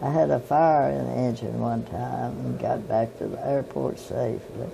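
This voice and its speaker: Over noticeable background noise, a woman with a Southern US accent speaks at a fairly slow pace. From Tennessee. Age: 80s+. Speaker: pilot, flight instructor. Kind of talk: interview answer.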